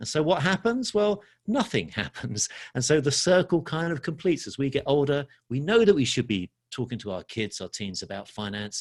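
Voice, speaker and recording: A man with an English accent at a fairly quick pace, very wide pitch swings, dry and close sound with no echo. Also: very clean recording, silent background. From London, England. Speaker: financial educator. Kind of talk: podcast interview.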